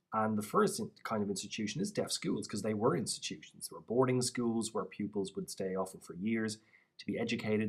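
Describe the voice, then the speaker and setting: At a fairly quick pace, a man talks with a Dublin accent. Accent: Irish (Dublin). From Ireland, North County Dublin. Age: 30s. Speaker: PhD student and researcher on deaf history. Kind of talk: vlog voice-over of own signed talk.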